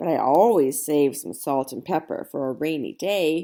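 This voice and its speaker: A woman performs a put-on character voice. It sits very deep and low, delivered at a moderate pace. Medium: read story. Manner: gruff, cranky.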